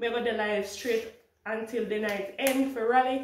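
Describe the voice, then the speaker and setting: A woman speaks at a moderate pace in a room with audible echo and noticeable background noise. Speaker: family vlogger. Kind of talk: casual vlog chat. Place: kitchen. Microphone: phone near.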